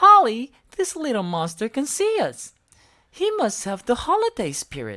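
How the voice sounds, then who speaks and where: Put-on character voice, pitched fairly high, delivered at a moderate pace. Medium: read story.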